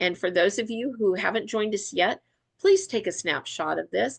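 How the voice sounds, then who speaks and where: Over a quiet background, a woman with a fairly high pitch and vocal fry speaks at a fairly slow pace with very wide pitch swings. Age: 60s. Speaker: wellness product distributor. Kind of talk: training presentation. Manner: animated.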